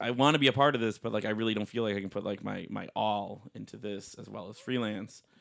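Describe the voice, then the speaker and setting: Speaking very fast with hardly any pauses, a man uses a fairly low voice with vocal fry. His intonation stays fairly even. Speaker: wrestling referee. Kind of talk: casual podcast interview. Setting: home recording.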